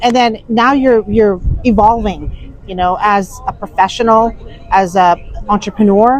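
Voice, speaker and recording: Over noticeable background noise, a woman speaks at a fairly slow pace in a fairly high pitch with fairly even intonation. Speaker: podcast host. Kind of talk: casual chat. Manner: halting, many fillers.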